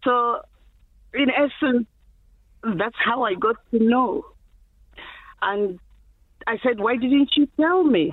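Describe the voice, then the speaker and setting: At a very slow pace with long, frequent pauses, a woman speaks in a high voice with lively intonation. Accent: Zimbabwean. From Zimbabwe. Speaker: HIV activist. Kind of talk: interview.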